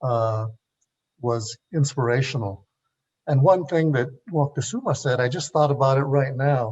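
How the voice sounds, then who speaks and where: A man's somewhat breathy, medium-pitched voice at a moderate pace, with ordinary pitch variation and long, frequent pauses. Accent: American. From Los Angeles, East LA. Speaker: panelist, former student activist. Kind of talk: panel discussion. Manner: halting, many filler sounds.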